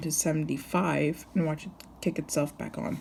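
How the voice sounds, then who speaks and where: Vocal fry in a dark, mellow tone, with fairly even intonation at a moderate pace. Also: woman. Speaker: HVAC hobbyist vlogger. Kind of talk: casual walkthrough video.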